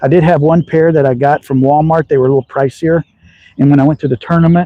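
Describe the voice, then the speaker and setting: Dry, close, echo-free audio of a man with a slight Southern US accent, fairly high in pitch, dark and mellow in tone, his intonation fairly even. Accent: slight Southern drawl. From Texas. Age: 60s. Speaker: slingshot hobbyist. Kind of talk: live stream chat. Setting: outdoors. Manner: casual.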